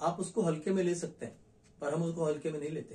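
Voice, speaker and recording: A man speaks with a high pitch and ordinary pitch variation. His tone is dark and mellow. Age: 50s. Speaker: nutrition expert. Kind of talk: health education monologue. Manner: smiling while speaking.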